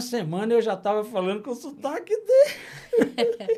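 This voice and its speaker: A man with a Brasília accent and a dark, mellow tone. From Brasília, Brazil. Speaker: puppeteer and popular culture master. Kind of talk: interview conversation.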